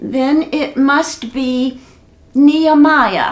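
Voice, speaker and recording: A female-sounding voice takes on a put-on character voice at a high pitch. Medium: read story.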